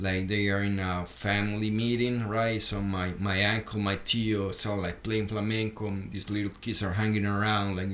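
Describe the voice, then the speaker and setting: A man with a fairly low voice talks in a monotone, flat way at a moderate pace with hardly any pauses. Audible room echo surrounds him. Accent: Spanish. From Colombia, Bogota. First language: Spanish. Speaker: rockabilly guitarist. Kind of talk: casual podcast interview. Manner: halting, many repetitions and fillers.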